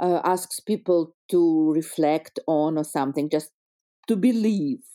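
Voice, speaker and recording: Her tone is dark and mellow, with lively intonation. This woman speaks fairly slowly in a Russian accent. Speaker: history teacher. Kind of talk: interview. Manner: halting.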